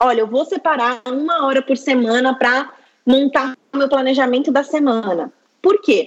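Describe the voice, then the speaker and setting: A woman's high-pitched voice moves along at a moderate speed. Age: 20s. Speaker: labor lawyer. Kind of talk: interview.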